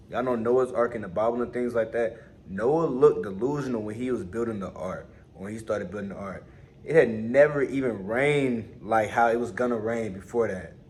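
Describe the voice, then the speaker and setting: At a fairly quick pace, a man speaks at a medium pitch with ordinary pitch variation. His loudness swings a lot, and room echo is audible. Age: young. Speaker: motivational vlogger. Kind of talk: casual motivational monologue. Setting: on lunch break at work. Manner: casual, repetitive, conversational.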